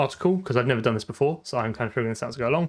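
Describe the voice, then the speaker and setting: A normal speaking voice comes through, its pitch variation ordinary. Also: man. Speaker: programmer live streamer. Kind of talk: live coding stream.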